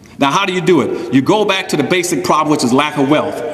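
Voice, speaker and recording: An animated man with a fairly high pitch and a fairly quick pace, amid audible room echo and noticeable background noise. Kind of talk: speech to an audience. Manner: fast.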